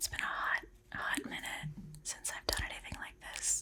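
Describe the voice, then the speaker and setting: The speaker is whispering. Background noise is noticeable. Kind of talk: casual talk to camera.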